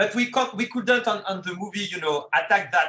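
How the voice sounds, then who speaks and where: A man's bright, sharp voice in a French accent. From France. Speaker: film director. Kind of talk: interview. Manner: halting, repeats words.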